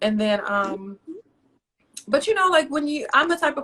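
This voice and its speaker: With a Southern US accent, a woman speaks in a raised, projected voice at a moderate pace. Her pitch swings very widely. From North Carolina, US South (moved from Roanoke, Virginia at 14). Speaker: poet and author. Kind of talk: interview.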